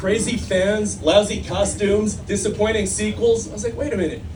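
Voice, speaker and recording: There is audible room echo and noticeable background noise. A man is the one speaking. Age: 60s. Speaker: stand-up comedian. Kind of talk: stand-up. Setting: stage with audience.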